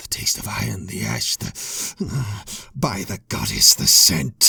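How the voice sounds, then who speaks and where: Putting on a character voice, a man growls at a very deep, low pitch, raspy and fairly slow, with very wide pitch swings. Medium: read story.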